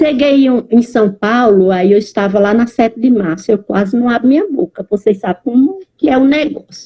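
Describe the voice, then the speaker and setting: In a Bahian accent, a woman speaks at a fairly slow pace. Her fairly high voice is somewhat breathy. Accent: Bahian accent, noticeable. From Bahia, Brazil. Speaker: Portuguese language teacher. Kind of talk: online lecture. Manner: animated.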